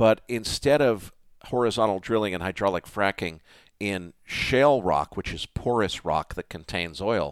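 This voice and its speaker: The recording is very clean with a silent background, and a man speaks in a normal speaking voice. His pitch is fairly low, his pace moderate and his intonation lively. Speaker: software entrepreneur and finance podcast host. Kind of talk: interview conversation.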